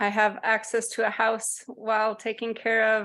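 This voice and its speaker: In a Canadian accent, a woman speaks at a fairly slow pace. Her intonation is monotone and flat. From Canada. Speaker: course participant. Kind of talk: group video call discussion. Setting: video call.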